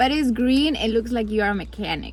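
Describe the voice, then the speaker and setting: A woman with a Spanish accent, talking at a fairly quick pace, with audible room echo. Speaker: vlogger and graduate student. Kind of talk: casual vlog talk to camera. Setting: in a car.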